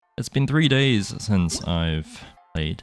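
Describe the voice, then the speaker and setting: Music plays in the background as a man speaks. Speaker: gaming youtuber. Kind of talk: scripted narration; gameplay commentary. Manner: casual.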